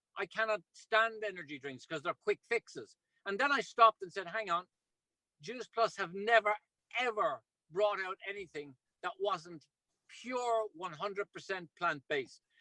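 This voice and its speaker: In a dry, close sound with no echo, a man raises and projects his high, bright, sharp voice, animated in tone, at a moderate pace with ordinary pitch variation. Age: 60s. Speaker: ultramarathon runner and product promoter. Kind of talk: video call presentation.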